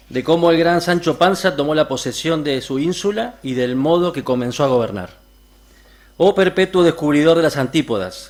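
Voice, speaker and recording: A man with an Argentine accent speaks at a fairly high pitch, his intonation lively. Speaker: reader at a literary event. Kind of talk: reading aloud.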